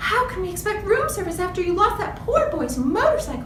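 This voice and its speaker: Over loud background noise and a slight echo, a woman puts on a character voice at an extremely high pitch and a fairly quick pace. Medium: read story. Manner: fretful, fluttery.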